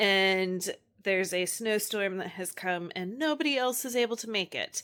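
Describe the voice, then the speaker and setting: A woman with a bright, sharp tone and medium pitch speaks at a fairly slow pace with ordinary pitch variation, in a very clean recording over a silent background. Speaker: homeschooling mom and book vlogger. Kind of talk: casual reading vlog. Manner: casual, many fillers.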